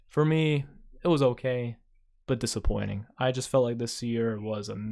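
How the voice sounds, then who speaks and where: A man at a medium pitch speaks at a moderate pace, his tone dark and mellow and his intonation fairly even. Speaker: YouTuber. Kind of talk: personal vlog monologue. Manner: quieter than usual.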